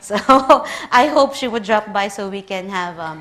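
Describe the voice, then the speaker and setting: In a Filipino accent, a woman talks at a moderate pace and medium pitch with ordinary pitch variation, and audible room echo surrounds her voice. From Philippines. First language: Tagalog. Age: 30s. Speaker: librarian. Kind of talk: conference talk.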